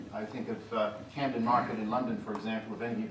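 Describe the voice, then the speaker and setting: A man with an American accent talks at a fairly quick pace, his pitch swinging very widely. Noticeable background noise and audible room echo surround him. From Pennsylvania, US. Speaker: magician. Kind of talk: stage magic performance. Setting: stage with audience.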